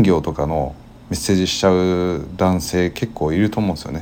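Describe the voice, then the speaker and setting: Audible room echo surrounds this voice. A man speaks with a very deep, low pitch. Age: 20s. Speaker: podcast co-host, office worker. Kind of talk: casual chat.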